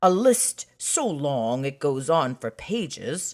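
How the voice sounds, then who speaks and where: The pitch sits low to middle. It is a put-on character voice. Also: fairly slow pace. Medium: read story.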